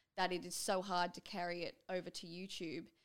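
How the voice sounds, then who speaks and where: A woman with an Australian accent at medium pitch, a very clean recording with a silent background. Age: 20s. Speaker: YouTuber. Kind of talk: casual chat. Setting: studio.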